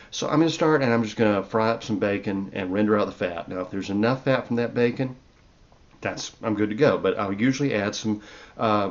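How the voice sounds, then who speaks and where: A man's medium-pitched voice in a relaxed tone, fairly quick in pace, with ordinary pitch variation. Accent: Southern US. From US South. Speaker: herbalist and podcast host. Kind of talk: casual cooking talk. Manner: relaxed, conversational with fillers. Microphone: new microphone.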